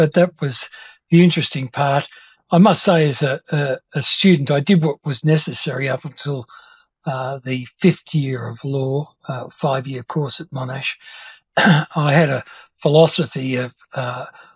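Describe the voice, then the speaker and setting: A man talks with a somewhat breathy voice at a fairly slow pace. The background is quiet. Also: dry sound with no echo. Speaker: interview guest, lawyer. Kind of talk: interview answer. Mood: amused, reminiscing. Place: home room. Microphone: video call.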